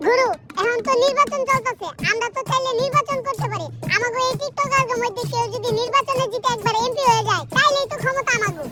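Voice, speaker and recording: Delivered at a fairly quick clip, this cartoonish character voice plays over clear background music. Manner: boastful, excitable.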